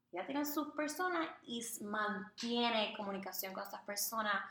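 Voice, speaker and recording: Against audible room echo, a woman talks at a moderate pace in a fairly high voice with ordinary pitch variation. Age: 20s. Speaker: podcast co-host, communications graduate. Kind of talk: casual chat.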